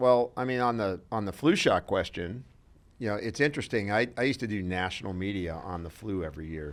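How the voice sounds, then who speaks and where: Heard in a very clean recording against a silent background, a man with a normal speaking voice talks at a fairly quick pace, fairly low in pitch with lively intonation. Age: 60s. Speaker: health expert. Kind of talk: casual interview.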